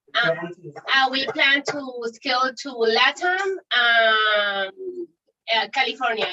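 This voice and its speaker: A woman with a Spanish accent talks at a very slow pace and a fairly high pitch. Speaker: startup founder. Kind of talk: pitch competition Q&A. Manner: halting.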